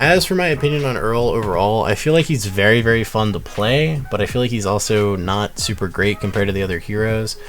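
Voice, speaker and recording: Over music in the background and audible room echo, a man talks at a very fast pace in a fairly low pitch. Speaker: gaming YouTuber. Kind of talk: game character guide. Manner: casual with fillers.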